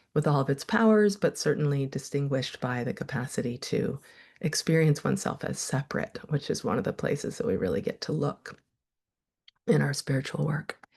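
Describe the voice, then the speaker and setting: A woman with a very deep, low pitch, vocal fry, very wide pitch swings and a fairly quick pace. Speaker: meditation teacher and therapist. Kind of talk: online workshop teaching. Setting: video call. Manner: casual, hesitant with self-corrections.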